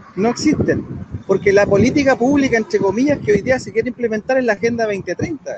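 Over noticeable background noise, a man with a high voice talks at a very fast pace, the sound dry and close with no echo. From Chile. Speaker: political commentator. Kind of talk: debate.

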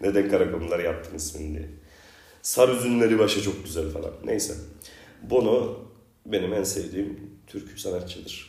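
Moderate pace with ordinary pitch variation, a somewhat breathy quality, big swings in loudness, and audible room echo. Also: man, fairly low pitch for a man. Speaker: podcast host. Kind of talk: casual chat.

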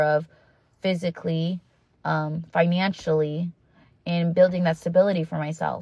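Speaking at a moderate pace, a woman with a fairly low pitch sounds somewhat breathy, her intonation monotone and flat. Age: 20s. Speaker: podcast host. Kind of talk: solo monologue, self-help talk. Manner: casual with many fillers.

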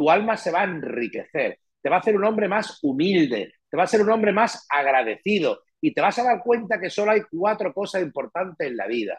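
High male voice with very wide swings in pitch, at a moderate pace. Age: 50s. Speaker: real estate manager and writer. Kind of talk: interview.

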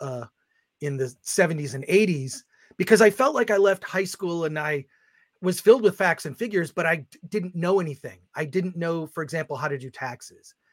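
A man's normal speaking voice, fairly high in pitch with lively intonation at a moderate pace, in a very clean recording with a silent background and a dry, close sound with no echo. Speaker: film critic and publisher. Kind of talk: casual chat.

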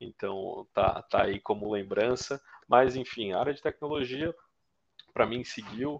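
Talking at a fairly slow pace, a man with a plain, everyday voice shows ordinary pitch variation. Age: 30s. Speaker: bitcoin miner. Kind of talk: casual interview.

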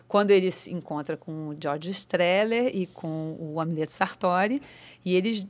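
With a plain, everyday voice, a woman speaks at a fairly slow pace and a fairly low pitch, with ordinary pitch variation and big swings in loudness. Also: very clean recording, silent background. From Rio de Janeiro, Ilha do Governador. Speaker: actress and theatre teacher. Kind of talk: casual interview. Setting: studio.

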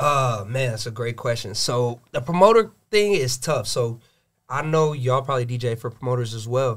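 Somewhat breathy, a man speaks with an American accent and ordinary pitch variation. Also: medium pitch for a man, moderate pace. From Gwinnett, Georgia, US. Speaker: DJ. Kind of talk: casual chat.

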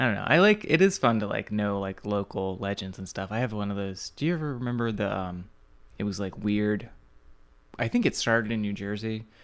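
With a fairly low pitch, a man speaks in a normal speaking voice. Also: very clean recording, silent background. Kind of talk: casual chat. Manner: joking.

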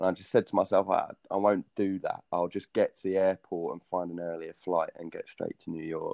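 A man with a British accent speaks at a fairly quick pace. His loudness swings widely from moment to moment. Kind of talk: casual chat. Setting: video call.

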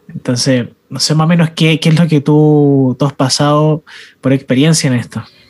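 This man talks at a moderate pace in a fairly high, monotone voice with flat intonation, and the sound is dry and close with no echo. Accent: Chilean. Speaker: youth ministry podcast host. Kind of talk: casual chat.

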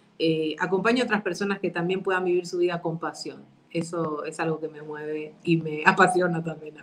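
With hardly any pauses and noticeable background noise, a woman talks at a fairly quick pace with fairly even intonation and big swings in loudness. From Argentina. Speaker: psychologist and NLP coach. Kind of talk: online interview.

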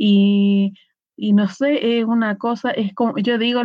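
With ordinary pitch variation, a woman talks at a fairly slow pace in a somewhat breathy voice. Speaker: tarot reader and shamanic practitioner. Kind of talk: casual chat. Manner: simple plain speech.

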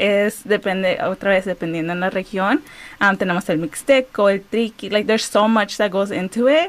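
A woman speaks in a plain, everyday voice at a medium pitch, with ordinary pitch variation and a moderate pace. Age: 20s. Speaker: community organizer and former educator. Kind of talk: radio interview.

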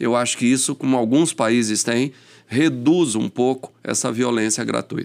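On a very clean recording with a silent background, a man talks in a normal speaking voice at a medium pitch, with ordinary pitch variation and a moderate pace. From São Paulo, Brazil. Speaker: police chief. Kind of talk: casual interview chat. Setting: studio.

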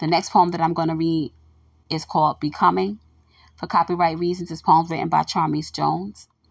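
Talking at a fairly quick pace, a woman's voice shows ordinary pitch variation. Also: quiet background. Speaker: podcaster sharing her own poetry and scripture. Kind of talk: poem and scripture reading, devotional. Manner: warm, earnest, encouraging.

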